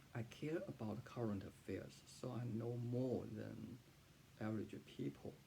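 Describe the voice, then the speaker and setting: A man at medium pitch with a Chinese accent, very wide pitch swings, and a fairly slow pace. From southern China. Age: 40s. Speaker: freelance writer and translator. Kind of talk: personal testimony. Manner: halting, many fillers and repetitions.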